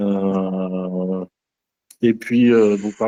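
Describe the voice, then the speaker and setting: A man speaks in a dark, mellow tone. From France, Loiret (Centre region). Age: 30s. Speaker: trainee real estate agent. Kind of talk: group introduction in training session. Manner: hesitant, many fillers.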